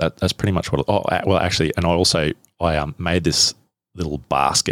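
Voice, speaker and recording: Dry and close with no echo, a man's very deep, low voice moves at a fairly quick pace. His intonation stays fairly even. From Australia, central Queensland. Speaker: survival hunter and bush guide. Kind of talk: interview. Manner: halting, repeats words.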